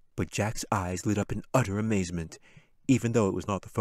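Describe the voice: The pitch varies normally as someone plainly reads aloud.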